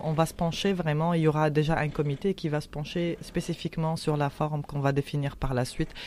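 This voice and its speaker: A woman talks at a moderate pace in a very deep, low voice with flat, monotone intonation. The recording is very clean, with a silent background. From Tunisia. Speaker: anti-racism activist. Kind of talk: interview. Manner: halting.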